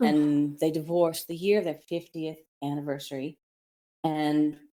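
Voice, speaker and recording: A woman speaks at a moderate pace with fairly even intonation. Her voice is very deep and low, with a dark, mellow tone. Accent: Midwestern. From Kansas, USA. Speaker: author and businesswoman. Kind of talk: interview answer.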